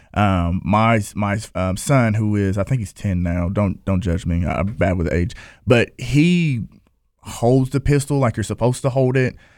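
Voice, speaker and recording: Against a very clean recording with a silent background, a man with an American accent and a normal speaking voice talks at a fairly slow pace, with a fairly low pitch and lively intonation. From southern Ohio. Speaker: gun club vice president, elementary educator. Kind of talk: casual panel interview.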